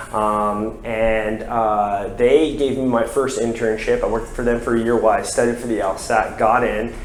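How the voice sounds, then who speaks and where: Flat and monotone, a medium-pitched man speaks at a moderate pace with hardly any pauses. The room echo is audible, and background noise is noticeable. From US South, Florida (Brevard County). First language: French. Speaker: lawyer. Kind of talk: interview. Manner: many fillers (um, uh).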